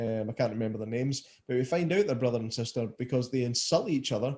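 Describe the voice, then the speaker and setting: A man with a Scottish accent, a dark, mellow tone and a somewhat breathy quality, medium pitch, ordinary pitch variation and a fairly quick pace. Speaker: podcast host. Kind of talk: casual podcast talk.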